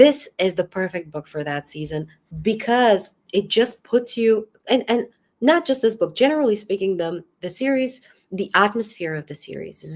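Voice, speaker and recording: A woman in a Bulgarian accent speaks at a moderate pace with lively intonation. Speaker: book channel host. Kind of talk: live-stream book discussion. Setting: video call. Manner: hesitant, many fillers.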